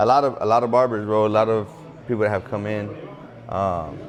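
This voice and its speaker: A man speaks at a fairly quick pace and a medium pitch, his intonation fairly even, with audible room echo and noticeable background noise. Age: 20s. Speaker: barber shop co-owner. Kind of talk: casual chat. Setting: barber shop.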